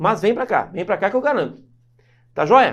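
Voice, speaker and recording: A man shouting loud and high-pitched at a fairly slow pace, animated in tone and lively in intonation. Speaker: law teacher for civil service exams. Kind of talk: online lecture. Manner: loud, shouts a lot.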